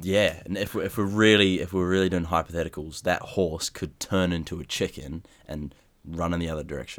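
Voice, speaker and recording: Fairly even intonation runs through speech delivered at a fairly quick tempo. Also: man, very deep, low pitch for a man. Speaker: podcast co-host. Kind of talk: casual chat. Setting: video call.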